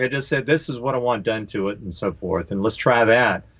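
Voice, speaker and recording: A man with a normal speaking voice at medium pitch, at a fairly quick pace. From North Carolina. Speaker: touring guitarist. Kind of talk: casual chat. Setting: video call.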